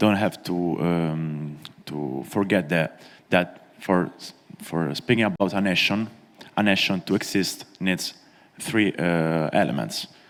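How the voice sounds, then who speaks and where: A man's very deep, low voice at a very slow pace. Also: ordinary pitch variation. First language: not English. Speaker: conference panelist. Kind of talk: panel speech. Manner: halting, many fillers.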